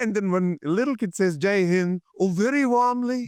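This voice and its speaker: In a very clean recording with a silent background, a man with an Indian accent and high pitch speaks at a moderate pace with lively intonation. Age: 70s. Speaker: physicist, former tech executive, pilgrim walker. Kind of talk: interview answer.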